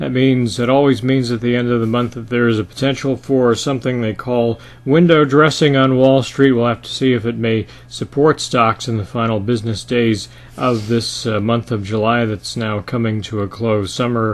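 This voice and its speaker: With a medium pitch and an unremarkable speaking voice, a man delivers his words at a moderate pace. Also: fairly even intonation. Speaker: market commentator. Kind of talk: financial market commentary to camera. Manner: conversational, with frequent filler 'uh'.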